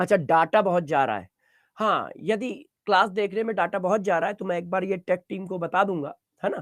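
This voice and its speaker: A man's high-pitched voice at a moderate pace, with fairly even intonation and a dry, close sound with no echo. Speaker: chemistry teacher. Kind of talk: online live class lecture. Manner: quiet; repetitive.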